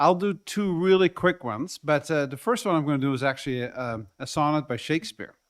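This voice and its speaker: A man with a Dutch accent and lively intonation at a moderate pace, on a very clean recording with a silent background. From Netherlands. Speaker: community delegate, poetry reader. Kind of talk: public presentation at council meeting.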